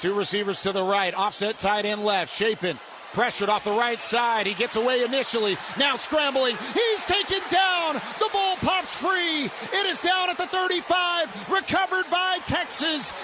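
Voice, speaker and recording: Against noticeable background noise, a man with an extremely high, raised, projected voice swings his pitch very widely while keeping his loudness very even. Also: moderate pace. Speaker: radio play-by-play announcer. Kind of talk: football radio play-by-play call.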